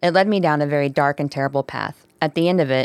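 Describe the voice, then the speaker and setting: On a very clean recording with a silent background and a dry, close sound with no echo, a woman with a very deep, low pitch speaks at a very fast pace with fairly even intonation. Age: 30s. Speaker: podcast co-host. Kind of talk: casual chat.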